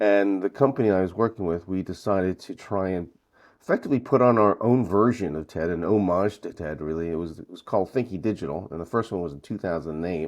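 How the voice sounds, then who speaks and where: In a Northeastern US accent, a man talks very fast with a very deep, low pitch and ordinary pitch variation. His loudness swings widely against a quiet background. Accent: American Northeast. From US Northeast, Brooklyn. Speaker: conference founder and event organiser. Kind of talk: podcast interview. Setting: remote call from North Carolina.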